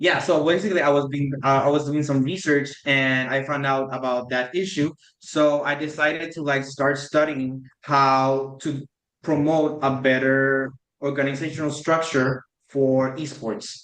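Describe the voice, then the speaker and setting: Talking at a fairly slow pace, a man with a Spanish accent keeps his fairly high voice in fairly even intonation. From Puerto Rico. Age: 20s. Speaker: PhD student and esports competitor. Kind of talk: podcast interview. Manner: halting, many fillers.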